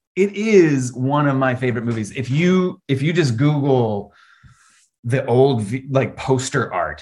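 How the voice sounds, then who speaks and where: This man speaks at a fairly slow pace with an American accent, a medium pitch, lively intonation and a somewhat breathy quality. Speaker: horror author. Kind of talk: casual interview chat. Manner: animated, theatrical.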